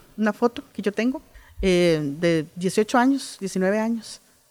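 With music in the background, a woman speaks at a very slow pace in lively intonation, the sound dry and close with no echo. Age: 50s. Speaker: oral storyteller and writer. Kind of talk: interview. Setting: book fair.

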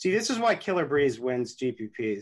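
He has a plain, everyday voice at medium pitch. The man keeps a moderate pace. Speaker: fantasy sports analyst. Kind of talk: casual chat.

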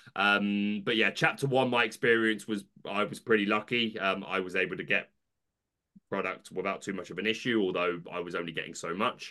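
Talking at a fairly quick pace with a British accent, a man with a fairly low pitch and a bright, sharp tone uses ordinary pitch variation. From United Kingdom. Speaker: YouTube content creator. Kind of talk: casual chat. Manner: animated.

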